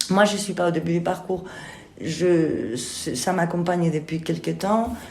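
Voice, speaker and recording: Over noticeable background noise and audible room echo, a woman with a fairly low pitch speaks at a fairly slow pace with ordinary pitch variation. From Spain. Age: 50s. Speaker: theatre director and actress. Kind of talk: interview. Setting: theatre kitchen room. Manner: hesitant, many fillers.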